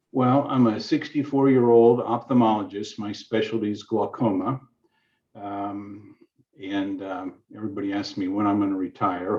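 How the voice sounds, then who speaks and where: This is a normal speaking voice. It keeps a moderate pace. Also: man. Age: 60s. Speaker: ophthalmologist, family caregiver. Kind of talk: testimony.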